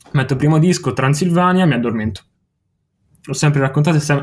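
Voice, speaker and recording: A man with a fairly high pitch talks at a fairly quick pace in a somewhat breathy voice, using ordinary pitch variation and long, frequent pauses. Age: young. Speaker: music webzine writer and video maker. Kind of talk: casual chat. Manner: halting.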